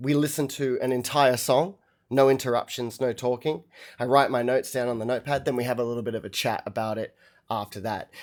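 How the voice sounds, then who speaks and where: A medium-pitched male voice with an Australian accent on a very clean recording with a silent background. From Australia, Melbourne. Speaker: musician reacting to albums on livestream. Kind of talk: casual livestream chat. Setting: live stream. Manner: casual, hesitant with many fillers.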